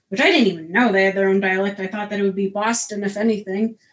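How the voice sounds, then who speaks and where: This is a woman speaking with an American accent. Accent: regional East Coast accent others notice. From US Northeast, Connecticut. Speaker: soap maker streamer. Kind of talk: live stream chat. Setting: live stream at home. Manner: animated.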